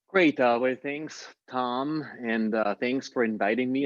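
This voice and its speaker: At a moderate pace, a man talks with an Austrian accent. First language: German. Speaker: impact investor. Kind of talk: interview Q&A.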